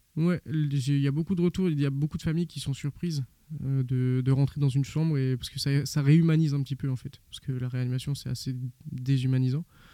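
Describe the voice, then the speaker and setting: Fairly high-pitched for a man, this male voice has a dark, mellow tone, fairly even intonation and a fairly quick pace. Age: 20s. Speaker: ICU nurse. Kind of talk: interview. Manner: halting, many repetitions.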